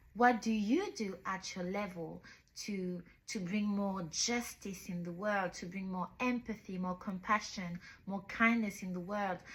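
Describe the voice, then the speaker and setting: Her voice somewhat breathy, a woman talks at a fairly slow pace with medium pitch and fairly even intonation. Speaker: book reviewer, YouTuber. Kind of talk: book review monologue. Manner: repetitive, some halting restarts.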